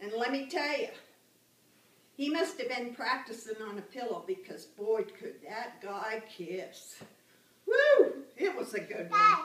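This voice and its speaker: Over noticeable background noise, a woman with an American accent speaks at a very slow pace in a high, raised, projected voice, with very wide pitch swings and big swings in loudness. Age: 80s+. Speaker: grandmother. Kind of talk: personal storytelling.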